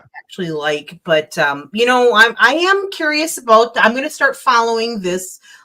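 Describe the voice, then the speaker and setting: At a moderate pace, a woman talks with a fairly high pitch and a bright, sharp tone. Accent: Minnesotan. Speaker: livestreamer. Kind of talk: casual chat.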